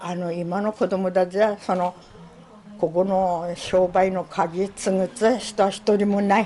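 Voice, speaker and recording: A woman's medium-pitched voice, monotone and flat, at a very slow pace. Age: 70s. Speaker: former general store manager. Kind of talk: interview answer.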